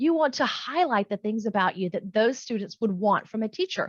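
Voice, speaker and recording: A woman with an American accent talks at a moderate pace, her pitch swinging very widely. The sound is dry and close with no echo, against a quiet background. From US South, North Carolina. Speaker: online English teacher and YouTuber. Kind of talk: tutorial. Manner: casual.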